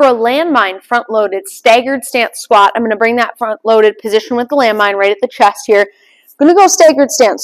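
Against a quiet background, a woman talks at a fairly quick pace with a high pitch. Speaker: fitness coach. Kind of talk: tutorial. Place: gym.

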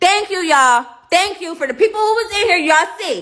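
A woman speaks in a raised, projected voice. Her pitch swings very widely. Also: quiet background. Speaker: live streamer. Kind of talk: casual live stream chat, telling a story to viewers. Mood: indignant, upset. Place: home room. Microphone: phone near.

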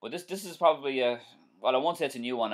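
Over a quiet background, a man with an Irish accent talks with lively intonation. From Ireland. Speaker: driving instructor. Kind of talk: live-stream tutorial and viewer Q&A. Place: home room. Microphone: webcam.

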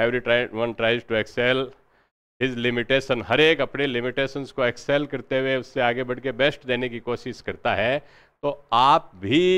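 At a fairly slow pace, a man speaks in a flat, monotone intonation. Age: 40s. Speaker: history teacher and exam coach; history teacher, exam coach. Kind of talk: lecture. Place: classroom. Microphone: lapel.

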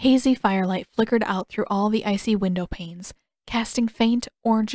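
The clip is plain reading aloud, heard over a quiet background.

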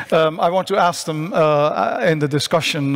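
Fairly even intonation in a Dutch accent against a quiet background. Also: man. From Netherlands. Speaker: science journalist, panel moderator. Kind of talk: panel moderation. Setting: conference stage with remote speakers. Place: stage. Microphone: headset.

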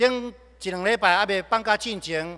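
Against a quiet background, a man speaks in a raised, projected voice with a high pitch and a bright, sharp tone. His intonation stays fairly even at a fairly slow pace. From Taiwan. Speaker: pastor. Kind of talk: sermon. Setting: church. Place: church. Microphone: podium.

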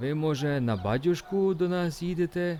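A man's mumbling, put-on character voice, fairly high in pitch, at a moderate pace. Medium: read story. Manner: deferential, folksy, warm.

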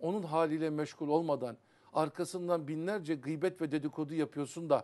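At a moderate pace, a man speaks in a fairly high pitch. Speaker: Sufi religious teacher. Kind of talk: religious TV talk on Sufi poetry. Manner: animated. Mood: earnest, admonishing. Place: studio.

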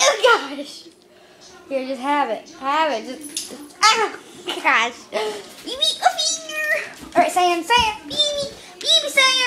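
A man puts on a squeaky character voice at an extremely high pitch, excited and playful in tone, talking at a fairly slow pace with long, frequent pauses. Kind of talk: talking to pets. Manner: excited, playful.

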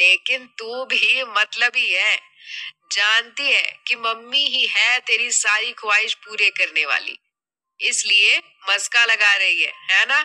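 Putting on a character voice, a woman speaks slowly at a fairly high pitch in a bright, sharp tone with ordinary pitch variation, the sound dry and close with no echo.

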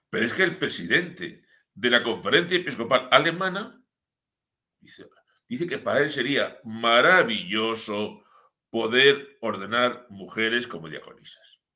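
This man has a medium-pitched voice with a bright, sharp tone and a fairly slow pace. His pitch swings very widely and his loudness rises and falls a great deal against a quiet background. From Spain, Madrid region (Sierra de Madrid); Madrid region, Spain. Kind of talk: live-streamed news commentary. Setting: live stream from his home village. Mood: ironic, critical. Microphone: webcam.

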